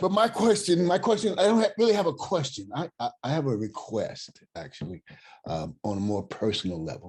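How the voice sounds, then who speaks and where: At a moderate pace, a man with an American accent speaks in a dark, mellow tone. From US West Coast (Oakland, California). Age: 60s. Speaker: caller. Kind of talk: Q&A question to a guest speaker. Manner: animated.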